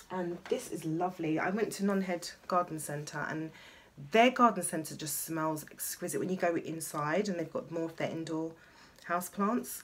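With a London accent, a woman speaks at a moderate pace in a fairly low pitch, with ordinary pitch variation. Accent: southern English, London. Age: 40s. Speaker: beauty vlogger. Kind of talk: casual chat. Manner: chatty, rambling. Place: home room. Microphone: phone near.

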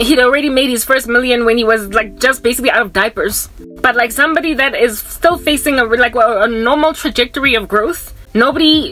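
Ordinary pitch variation at a fairly quick pace, with faint music in the background. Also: woman. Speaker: vlogger. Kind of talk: casual vlog chat. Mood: animated, exasperated storytelling. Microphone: phone near.

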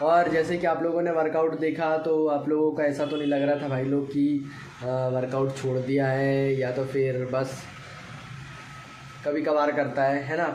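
Fairly high in pitch, a man's slightly mellow voice moves at a fairly slow pace with little pitch movement, and audible room echo surrounds it.

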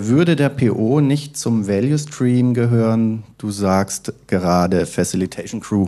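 Over a quiet background, a man talks in a dark, mellow tone with a fairly low pitch and ordinary pitch variation. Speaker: conference host and moderator; conference host, moderator. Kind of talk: conference introduction and discussion. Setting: conference stage. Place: hall. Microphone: handheld.

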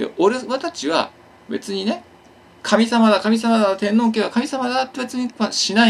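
The man's voice sits at a high pitch. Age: 40s. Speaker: YouTuber; vlogger. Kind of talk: casual monologue. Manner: hyper, excitable; stumbling speech. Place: home room. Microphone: phone near.

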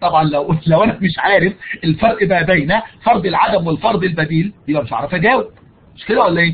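A man at a fairly quick pace, high in pitch, with ordinary pitch variation and big swings in loudness. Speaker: university lecturer. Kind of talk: online lecture. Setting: live online session. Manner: raises voice for emphasis.

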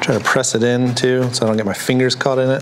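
The intonation is monotone and flat at a moderate pace. Noticeable background noise sits behind it. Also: man. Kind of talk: tutorial. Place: workshop. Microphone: lapel.

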